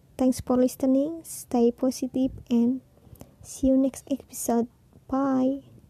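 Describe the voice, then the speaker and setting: In an Indonesian accent, a woman speaks very slowly in a high-pitched, dark and mellow voice with monotone, flat intonation and a dry, close sound with no echo. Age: 20s. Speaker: podcaster. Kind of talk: personal monologue.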